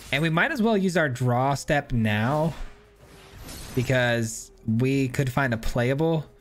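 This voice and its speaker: Very slow speech from a man at medium pitch, with ordinary pitch variation, very even loudness, long and frequent pauses, and music in the background. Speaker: gaming content creator. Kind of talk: gameplay commentary. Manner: casual, sometimes mumbling.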